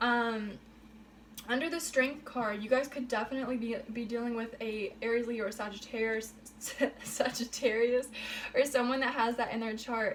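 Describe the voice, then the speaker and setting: At a moderate pace, a woman with a fairly high pitch speaks in fairly even intonation against noticeable background noise. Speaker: tarot reader. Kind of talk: tarot reading monologue. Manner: hesitant, many fillers.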